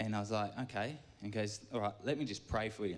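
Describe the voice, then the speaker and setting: Audible room echo surrounds a man who speaks fairly quickly. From York. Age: 30s. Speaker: church gardener giving a talk. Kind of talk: sermon. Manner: rambling, halting.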